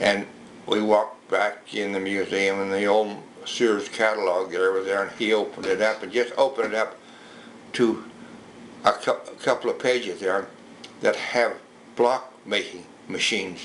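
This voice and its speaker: A man with an American accent and a fairly low pitch talks at a moderate pace in a monotone, flat intonation, with long, frequent pauses. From rural Utah, US. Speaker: local museum owner. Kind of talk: oral history interview. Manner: halting.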